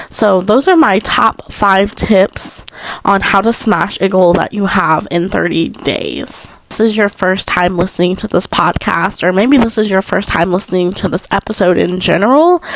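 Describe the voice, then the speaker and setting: Speaking at a moderate pace with hardly any pauses and very even loudness, a woman uses medium pitch and ordinary pitch variation over noticeable background noise. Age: 20s. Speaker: podcast host. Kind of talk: casual advice talk. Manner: casual, filler-heavy.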